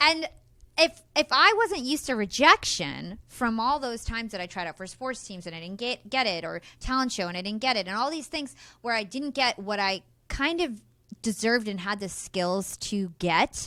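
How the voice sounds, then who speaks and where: A woman with a New York accent at a moderate pace, fairly high in pitch with a bright, sharp tone, very wide pitch swings and big swings in loudness, on a very clean recording with a silent background. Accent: American, New York area. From New Jersey, US. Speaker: podcaster and entrepreneur. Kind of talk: interview.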